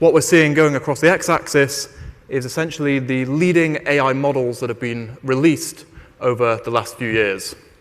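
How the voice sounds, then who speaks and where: A British accent at a moderate pace, with ordinary pitch variation. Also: man, fairly high pitch for a man. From Britain. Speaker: investment firm AI lead. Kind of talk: conference keynote talk. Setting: stage with audience. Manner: halting, many fillers and repeated words.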